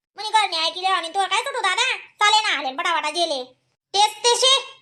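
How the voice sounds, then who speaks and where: A woman performs a cartoonish character voice at an extremely high pitch. Her intonation is lively and her pace moderate. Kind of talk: rustic comic cartoon banter. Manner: fast, bantering.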